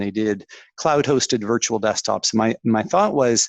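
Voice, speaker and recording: A man with a Canadian accent and an ordinary speaking voice talks at a fairly slow pace, fairly low in pitch with ordinary pitch variation. The background is quiet, and the sound is dry and close with no echo. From Canada. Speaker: tech executive. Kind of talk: interview.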